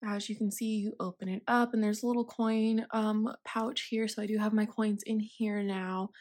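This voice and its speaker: An unremarkable speaking voice: a woman with a fairly high pitch at a fairly slow pace, on a very clean recording with a silent background. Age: 20s. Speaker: budgeting vlogger. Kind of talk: casual tutorial.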